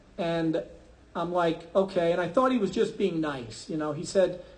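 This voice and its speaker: Speaking at a moderate pace with an American accent, a man shows ordinary pitch variation. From New York, Brooklyn and Long Island. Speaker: math teacher. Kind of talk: personal faith talk to an audience. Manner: conversational, with many fillers.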